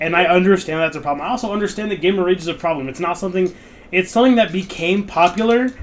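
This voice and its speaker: A loud voice comes through with ordinary pitch variation. Noticeable background noise sits behind it. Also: man. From rural area. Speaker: podcast co-host. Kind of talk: casual chat.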